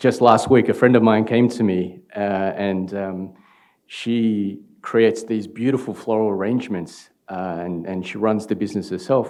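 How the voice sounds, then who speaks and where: With an Australian accent, a man speaks at a moderate pace, his pitch fairly low and his intonation fairly even. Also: quiet background. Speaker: startup founder. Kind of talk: conference talk. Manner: halting, many fillers.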